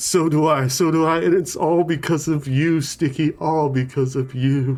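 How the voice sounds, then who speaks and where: Putting on a character voice, a man speaks at a fairly high pitch and a moderate pace while clear music plays in the background. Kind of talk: comic overacting. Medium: actual play. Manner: gushing, repetitive.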